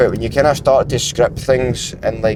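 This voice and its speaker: This is a man speaking with a Scottish accent. His pitch sits fairly high. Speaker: vlogger and fitness coach. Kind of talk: casual vlog monologue. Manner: fast; halting.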